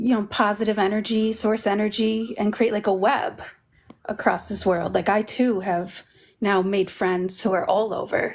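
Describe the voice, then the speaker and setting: In a very clean recording with a silent background, a woman with an American accent speaks at a moderate pace in a fairly high pitch, an unremarkable speaking voice. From Berkshires, Massachusetts. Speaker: panel guest. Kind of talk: casual chat.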